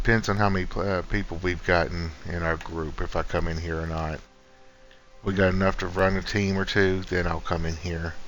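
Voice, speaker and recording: Music plays in the background and there is audible room echo as a man speaks quietly at a moderate pace. His voice is very deep and low, with monotone, flat intonation. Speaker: gaming streamer. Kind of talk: casual gameplay commentary. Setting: at home, early morning. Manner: quiet, subdued.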